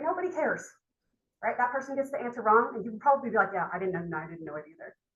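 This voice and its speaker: This woman's fairly high voice moves in very wide pitch swings. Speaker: university lecturer. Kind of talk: lecture. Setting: classroom. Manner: fast; continuous.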